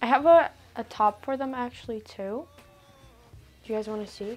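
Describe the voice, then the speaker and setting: Over faint background music, a woman speaks at a fairly slow pace. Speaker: vlogger. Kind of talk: casual vlog chat. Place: home room. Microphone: lapel.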